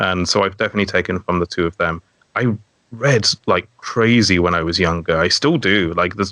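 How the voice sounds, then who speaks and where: The voice has a bright, sharp tone and very even loudness, at a fairly quick pace. Its pitch varies in an ordinary way, and the sound is dry and close with no echo. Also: man, very deep, low pitch for a man. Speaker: dungeon master and storyteller. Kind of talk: casual chat. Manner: captivating storytelling.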